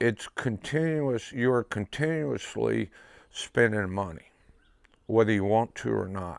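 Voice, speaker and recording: A man with an American accent has a plain, everyday voice, fairly low in pitch with lively intonation. The recording is very clean with a silent background and a dry, close sound with no echo. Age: 60s. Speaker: pigeon race loft operator. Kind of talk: interview testimony.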